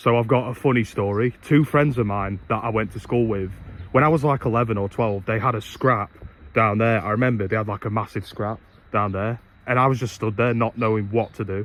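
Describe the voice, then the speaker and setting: A man with an East Midlands accent talks at a fairly quick pace, his medium pitch carrying fairly even intonation. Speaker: vlogger. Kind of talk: casual vlog. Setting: outdoors.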